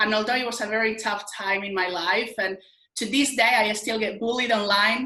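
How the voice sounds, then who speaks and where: The speech is monotone and flat, with audible room echo and noticeable background noise. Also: woman. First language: not English. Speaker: motivational speaker. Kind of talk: interview.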